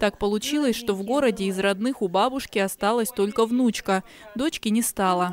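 In a plain, everyday voice, a woman speaks at a moderate pace. The variation in her pitch is ordinary. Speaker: TV news reporter. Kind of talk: TV news voice-over.

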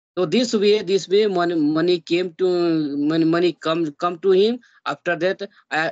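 With an Indian accent, a man speaks in a high voice at a moderate pace. His pitch varies in an ordinary way against a quiet background. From India, Bihar. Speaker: YouTuber learning English. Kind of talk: casual English practice conversation. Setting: video call. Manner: halting. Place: home room. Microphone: video call.

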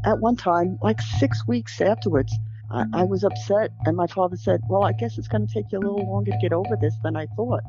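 A woman with a New York accent at a moderate pace, in dry sound with no echo and clear music in the background. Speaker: birth mother. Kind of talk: interview answer. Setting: phone line. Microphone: phone line.

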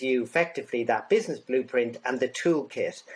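With an Irish accent, a man talks at a fairly quick pace using lively intonation. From Ireland. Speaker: business consultant. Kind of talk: interview. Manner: halting. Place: home room.

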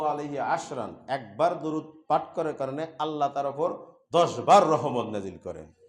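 The speaker is a man with a fairly high pitch. Noticeable background noise and audible room echo come through. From Bangladesh, Bogura district. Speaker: Islamic preacher and madrasa assistant professor. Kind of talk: sermon. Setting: mosque.

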